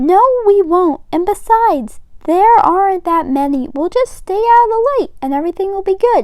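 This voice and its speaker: Her put-on character voice is squeaky and extremely high in pitch. The woman talks at a moderate pace. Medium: read story.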